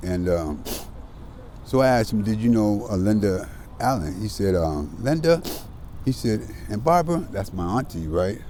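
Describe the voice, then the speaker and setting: The speaker talks at a moderate pace with an American accent, leaving long, frequent pauses. Audible room echo surrounds the voice. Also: man. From US Pacific Northwest (Seattle). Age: 60s. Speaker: formerly homeless man sharing life story. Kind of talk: interview.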